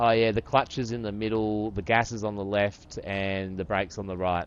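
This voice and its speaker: Speaking at a moderate pace, a man with a fairly low pitch talks in an Australian accent. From Australia, northern beaches. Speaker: game streamer. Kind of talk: casual chat. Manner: animated.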